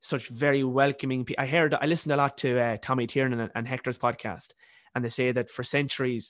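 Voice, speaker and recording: Against a quiet background, a man with a medium pitch talks at a very fast pace in a monotone, flat intonation. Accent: Irish. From Ireland. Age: 20s. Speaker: university student and author. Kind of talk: casual interview.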